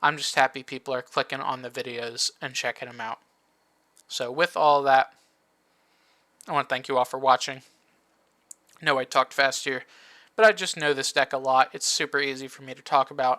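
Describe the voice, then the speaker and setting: Bright and sharp in tone, a man speaks at a fairly quick pace with fairly even intonation, long, frequent pauses and big swings in loudness, in a dry, close, very clean recording with no echo and a silent background. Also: medium pitch for a man. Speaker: card game content creator. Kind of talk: tutorial. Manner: casual.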